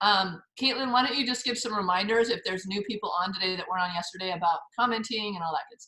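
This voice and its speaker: A woman at medium pitch talks at a very fast pace with hardly any pauses, big swings in loudness, a bright, sharp tone and ordinary pitch variation. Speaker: recipe teacher and course host. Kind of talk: online class talk. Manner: animated.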